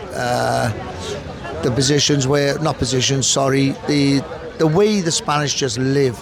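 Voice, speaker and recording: A man with a Welsh accent, fairly high-pitched and fairly even in intonation, at a fairly slow pace amid noticeable background noise. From Cardiff, Wales. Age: 60s. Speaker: pub manager. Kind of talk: interview answer.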